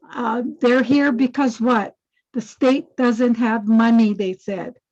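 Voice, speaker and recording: A woman with a Hawaiian accent and a fairly high pitch, at a very slow pace with fairly even intonation. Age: 80s+. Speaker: activist. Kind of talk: testimony. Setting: video call.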